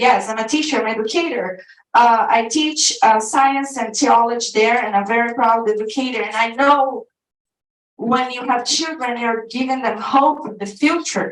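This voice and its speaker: Speaking in a strong Brazilian accent, a woman keeps a moderate pace at a high pitch. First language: Portuguese. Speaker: activist group leader and teacher. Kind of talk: public comment at a school board meeting. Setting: board meeting room with audience. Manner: halting.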